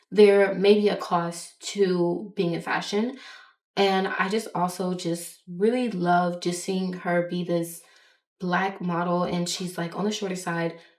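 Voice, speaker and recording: Room echo is audible as a woman talks at a fairly slow pace. Her medium-pitched voice is monotone and flat. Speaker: fashion vlogger. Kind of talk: casual monologue vlog. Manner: stuttering at times.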